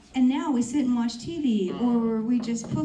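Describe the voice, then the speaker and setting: A woman's fairly high voice with ordinary pitch variation over noticeable background noise. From rural area, grew up on a farm. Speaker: health practitioner panelist. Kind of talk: panel discussion.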